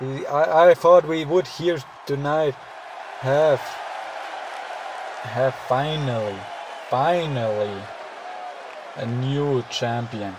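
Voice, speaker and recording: Against crowd noise, a man speaks at a very slow pace with long, frequent pauses. His pitch is fairly high, with ordinary variation. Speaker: wrestling game commentator. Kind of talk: live commentary. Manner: halting, stumbles over words.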